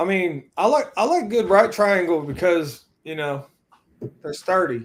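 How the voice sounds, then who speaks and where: In a Southern accent, a man speaks at a fairly slow pace. His pitch is high and his intonation lively. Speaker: podcast guest. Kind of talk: casual chat.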